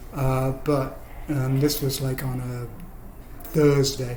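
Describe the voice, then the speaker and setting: There is audible room echo around a man whose fairly high-pitched voice keeps a fairly even intonation. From England. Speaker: spinal injury survivor. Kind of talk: personal storytelling. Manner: halting, many fillers.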